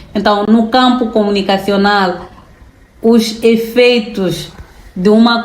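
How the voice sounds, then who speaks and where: A woman at a very slow pace, with fairly even intonation, audible room echo and noticeable background noise. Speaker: public relations lecturer. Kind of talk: interview conversation. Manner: formal.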